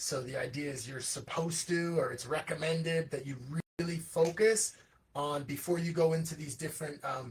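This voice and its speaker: A man with a fairly high voice talks at a moderate pace, his pitch varying in an ordinary way. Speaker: livestream host and children's musician. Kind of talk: casual livestream monologue. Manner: animated.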